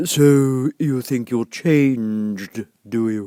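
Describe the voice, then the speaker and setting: Doing a put-on character voice at a medium pitch, a man speaks at a very slow pace in a dry, close sound with no echo. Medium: read story. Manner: terse, contradicting, short remarks.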